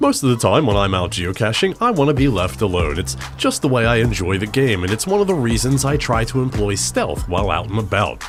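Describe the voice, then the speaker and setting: A man's medium-pitched voice with very wide pitch swings and very even loudness, fairly quick with hardly any pauses, over music in the background. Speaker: geocaching video creator. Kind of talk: comedic voice-over narration. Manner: wry, joking.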